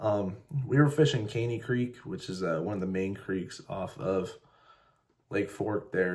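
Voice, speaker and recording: At a fairly slow pace, a man with an American accent speaks in a fairly low, somewhat breathy voice. The recording is very clean, with a silent background. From Ohio, US Midwest. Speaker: fishing vlogger. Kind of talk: vlog narration. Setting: outdoors on a lake in a kayak. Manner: casual with fillers.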